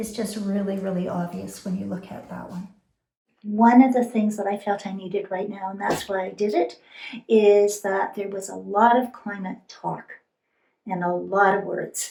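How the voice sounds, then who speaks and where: Here a woman talks in a normal speaking voice at medium pitch. Her pace is moderate and her intonation fairly even. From immigrated to Canada by boat. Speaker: weaver. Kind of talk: interview.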